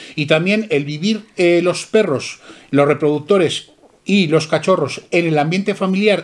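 A man with a high pitch at a fairly slow pace. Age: 50s. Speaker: dog breeder. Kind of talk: casual chat. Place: shop. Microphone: camera far.

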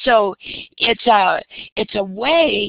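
With an enthusiastic tone, a woman speaks at a fairly high pitch with vocal fry. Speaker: educator presenting on professional development. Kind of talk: conference webinar presentation. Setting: video call.

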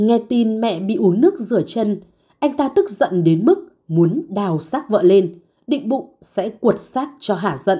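A woman speaks at a fairly slow pace in a fairly high pitch. Her dark, mellow tone moves through very wide pitch swings. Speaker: narrator. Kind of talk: scripted narration.

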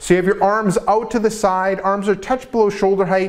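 A man with a high-pitched voice talks at a moderate pace with ordinary pitch variation. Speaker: presenter. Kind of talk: tutorial. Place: gym.

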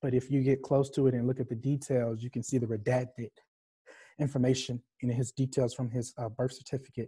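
A dark, mellow, somewhat breathy voice with a Southern US accent, flat monotone intonation and a fairly quick pace over a quiet background. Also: man, medium pitch for a man. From US South (Arkansas). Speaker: visual artist. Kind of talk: panel discussion. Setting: video call. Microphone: video call.

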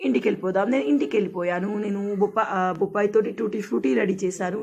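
Noticeable background noise sits under a woman speaking at medium pitch. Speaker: village life vlogger. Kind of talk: casual vlog narration. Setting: outdoors in village.

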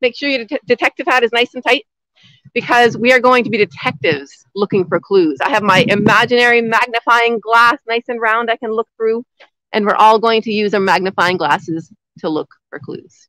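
With an animated, enthusiastic tone, a woman talks at a moderate pace in a dry sound with no echo against a quiet background. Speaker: outdoor nature educator. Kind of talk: live lesson for kindergarten children. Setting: outdoors in snow. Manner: loud, speaking up outdoors. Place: forest. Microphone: phone near.

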